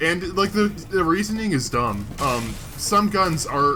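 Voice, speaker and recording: A man talks at a moderate pace with lively intonation. Music plays in the background, and there is audible room echo. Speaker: gaming video host. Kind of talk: casual chat over gameplay.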